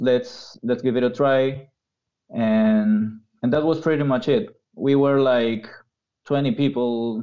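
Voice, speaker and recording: At a medium pitch, a man talks at a fairly slow pace. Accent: Peruvian. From Peru, Lima. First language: Spanish. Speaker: university professor. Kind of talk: casual interview. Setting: video call.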